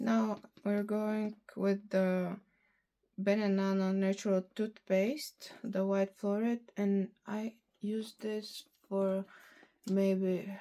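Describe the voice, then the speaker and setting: Spoken with a Bulgarian accent, the voice has a dark, mellow tone. The pace is very slow and the intonation monotone and flat. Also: woman, medium pitch for a woman. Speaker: beauty vlogger. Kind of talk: casual product review vlog. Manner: halting, with fillers.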